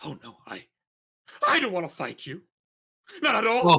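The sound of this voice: A put-on character voice at a middle pitch, moderate in pace, with very wide pitch swings.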